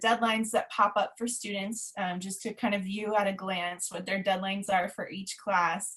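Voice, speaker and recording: Using a normal speaking voice, a woman speaks at a moderate pace with fairly even intonation. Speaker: former middle school science teacher, webinar presenter. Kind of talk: webinar presentation. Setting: online webinar.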